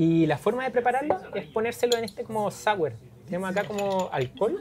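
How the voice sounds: A man talks at a fairly quick pace in a high voice with lively intonation. His tone is slightly mellow.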